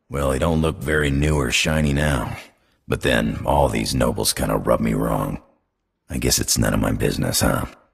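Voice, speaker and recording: In a put-on character voice, a man speaks at a very deep, low pitch with a raspy sound. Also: moderate pace. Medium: video game. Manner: drawling, casual.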